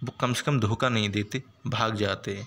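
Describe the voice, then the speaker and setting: A man's voice with a non-native accent. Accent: non-native Hindi, self-described weak. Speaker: stock market YouTuber. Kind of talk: stock market commentary video. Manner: animated, enthusiastic.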